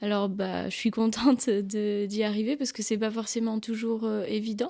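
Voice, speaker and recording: A woman's fairly high voice, dark and mellow in tone, at a moderate pace with fairly even intonation. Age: 20s. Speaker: photographer. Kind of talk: casual interview. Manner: halting.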